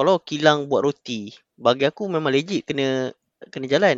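Using a normal speaking voice, a man talks at a moderate pace and a fairly high pitch. His intonation is lively. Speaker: podcast guest. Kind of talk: casual chat.

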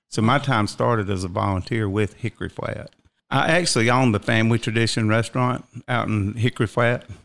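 In a very clean recording with a silent background, a man with a Southern US accent talks at a fairly quick pace and a medium pitch, with ordinary pitch variation. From South Carolina. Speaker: fire chief. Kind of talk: interview. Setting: studio.

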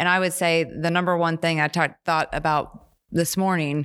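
In a very clean recording with a silent background, a woman with an American accent talks at a fairly slow pace in a fairly low pitch, an unremarkable speaking voice. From West Virginia / Pittsburgh area. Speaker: business professor. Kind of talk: casual chat. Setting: studio.

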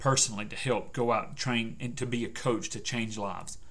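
Here a man talks at a moderate pace in a medium pitch. Audible room echo surrounds his voice. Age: 40s. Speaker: persuasion coach and podcast host. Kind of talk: solo motivational podcast monologue.

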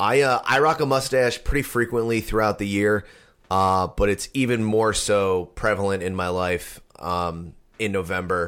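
In an ordinary speaking voice, a man talks at a moderate pace with a fairly low pitch and ordinary pitch variation, recorded very cleanly with a silent background. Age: 30s. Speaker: podcast host. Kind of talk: casual chat.

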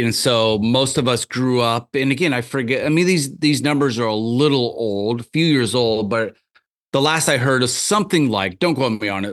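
With an American accent and a plain, everyday voice, a man speaks at medium pitch with lively intonation over a quiet background. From US Midwest, rural Iowa (Tama). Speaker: magazine founder and university lecturer. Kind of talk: casual chat. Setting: video call.

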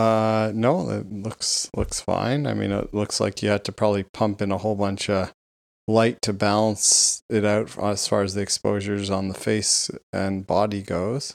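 Monotone and flat, a man's fairly low voice comes through with a dry, close sound with no echo. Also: moderate pace. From Vancouver, Canada. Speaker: podcast co-host. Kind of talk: casual banter.

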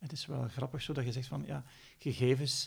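A man with a Flemish accent at a moderate pace. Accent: Flemish Dutch. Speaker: podcast host. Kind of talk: interview.

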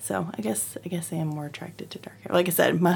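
Lively intonation and vocal fry color a woman's very deep, low pitch. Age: 30s. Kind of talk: casual chat.

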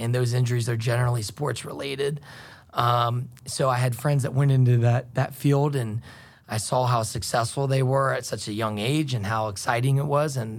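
A man's somewhat breathy, medium-pitched voice with fairly even intonation. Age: 30s. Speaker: medical device sales rep. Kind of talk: interview. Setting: studio. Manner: hesitant, many fillers.

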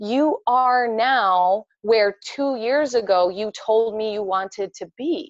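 A woman with a Midwestern US accent and a fairly high pitch speaks very slowly, with hardly any pauses and ordinary pitch variation, in a dry, close recording with no echo. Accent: Midwestern US with sharp vowels. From US Midwest, Indiana near Chicago. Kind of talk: casual interview chat.

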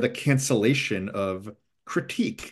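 There is vocal fry in this man's voice. He talks at a fairly slow pace against a quiet background. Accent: American. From US East Coast. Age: 50s. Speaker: English professor and author. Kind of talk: casual interview.

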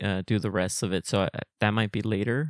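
This man has a fairly low pitch and fairly even intonation, with a Spanish accent. The recording is very clean and dry, close with no echo, over a silent background. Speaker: comedy podcast guest. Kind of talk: casual chat.

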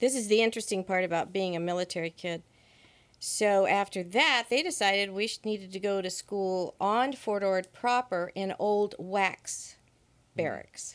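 With an American accent, a woman has an unremarkable speaking voice, speaking at a moderate pace with a medium pitch and ordinary pitch variation in a very clean recording with a silent background. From US West Coast, Monterey Peninsula. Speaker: church member. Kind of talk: interview.

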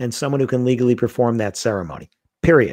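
A man with a New York accent, medium pitch and fairly quick pace, on a very clean recording with a silent background. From US, Queens, New York. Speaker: wedding industry speaker and author. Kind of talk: casual chat.

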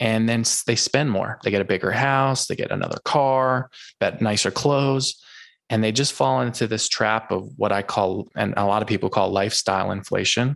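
A man with an American accent and a normal speaking voice, medium-pitched, at a moderate pace, with ordinary pitch variation, very even loudness and a quiet background. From US Northeast. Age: 30s. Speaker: finance podcaster and investor. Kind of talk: casual interview.

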